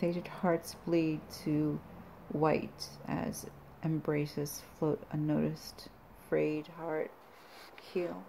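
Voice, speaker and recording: Quiet and dark, with a mellow tone and a very deep, low pitch, a woman speaks with long, frequent pauses over light background noise. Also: ordinary pitch variation. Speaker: poet and belly dancer channel creator. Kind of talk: poetry reading, solemn performed verse between casual chatty intros. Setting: home video, self-recorded. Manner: slow, deliberate, hushed dramatic delivery of the poems; casual, rambling, halting between poems. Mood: quiet, somber. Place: home room. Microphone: phone near.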